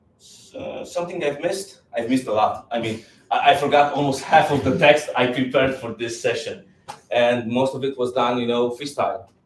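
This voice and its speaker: Through noticeable background noise, a man talks at a medium pitch with ordinary pitch variation. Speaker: conference speaker. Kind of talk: tech talk. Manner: fast; halting.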